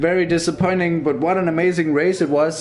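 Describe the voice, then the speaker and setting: Over music in the background and audible room echo, a man with a Danish accent talks at a moderate pace. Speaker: esports race commentator. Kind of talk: live commentary.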